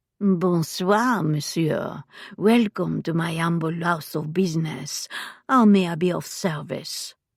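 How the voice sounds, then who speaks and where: A put-on character voice in a strong French accent, husky and middle-pitched, at a fairly slow pace, on a very clean recording with a silent background. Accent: thick French. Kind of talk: polite, welcoming.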